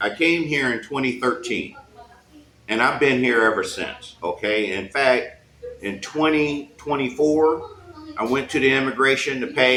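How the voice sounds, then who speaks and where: A man speaks at a medium pitch in an animated tone, with ordinary pitch variation. Noticeable background noise runs behind him. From United States. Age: 60s. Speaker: expat retiree. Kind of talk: casual interview. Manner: animated storytelling.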